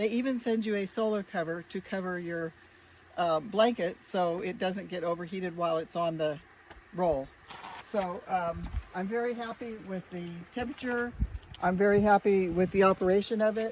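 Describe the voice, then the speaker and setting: Amid noticeable background noise, a woman speaks at a moderate pace with ordinary pitch variation. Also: medium pitch for a woman. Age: 70s. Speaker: customer giving a testimonial. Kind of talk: testimonial. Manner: hesitant with fillers.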